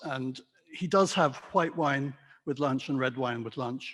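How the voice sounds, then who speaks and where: In a British RP accent, a man talks at a moderate pace with a fairly high pitch. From England, London. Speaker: wine merchant. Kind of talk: talk to a club audience. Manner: hesitant with many fillers.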